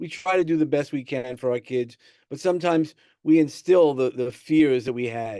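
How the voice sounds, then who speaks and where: Against a quiet background, a man with a New York accent speaks at a moderate pace with lively intonation. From New York City (Brooklyn, Sheepshead Bay). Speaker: personal growth coach. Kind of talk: podcast interview. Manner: hesitant, many fillers and repeats.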